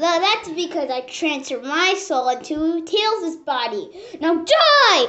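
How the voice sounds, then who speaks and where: Using a put-on character voice at an extremely high pitch, the speaker talks at a fairly slow pace. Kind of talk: character acting dialogue. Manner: gloating, menacing.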